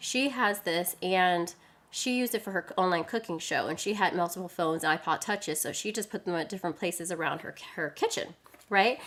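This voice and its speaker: Animated in tone, a woman talks at a fairly quick pace and a medium pitch with ordinary pitch variation. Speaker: live streaming tech presenter. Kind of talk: live stream product demo. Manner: fast.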